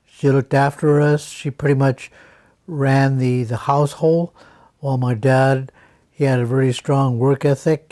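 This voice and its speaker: A man with an American accent speaks in a dark, mellow, flat monotone, the sound dry and close with no echo. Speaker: war veteran. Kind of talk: interview testimony. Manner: halting, many fillers.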